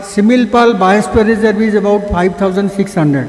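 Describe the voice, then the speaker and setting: A man at a moderate pace with ordinary pitch variation, audible room echo and noticeable background noise. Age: 80s+. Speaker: conference speaker, conservationist. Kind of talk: conference talk. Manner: halting.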